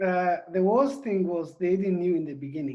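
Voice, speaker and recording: A high-pitched man with a non-native accent and ordinary pitch variation. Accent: foreign. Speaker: co-author, former refugee. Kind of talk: video Q&A.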